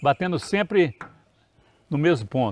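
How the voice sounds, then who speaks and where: At a fairly slow pace, a man talks in a high pitch, with a dry sound and no echo. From Brazil, Paracatu, Minas Gerais; Minas Gerais, Brazil. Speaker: professor and farm owner, interviewer; professor, interviewer. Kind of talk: interview. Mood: warm, reminiscing. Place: garden.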